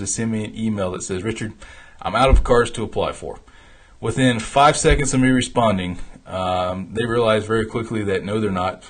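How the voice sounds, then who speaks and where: Somewhat breathy, a man talks at a fairly quick pace. His pitch is medium, with ordinary variation. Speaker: founder and host of a travel rewards show. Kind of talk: live stream talk. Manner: fast; animated.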